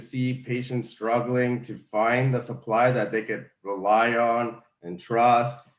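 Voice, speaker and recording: A man talks at a medium pitch and a fairly slow pace. His intonation is monotone and flat. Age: 30s. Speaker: cannabis store owner. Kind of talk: interview.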